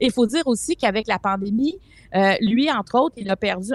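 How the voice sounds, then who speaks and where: An ordinary speaking voice from a woman, fairly high in pitch, at a moderate pace, in a dry, close sound with no echo. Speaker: columnist. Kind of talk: casual chat.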